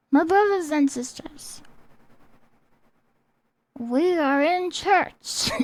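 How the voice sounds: In a put-on character voice, a woman speaks very slowly at an extremely high pitch with ordinary pitch variation and long, frequent pauses.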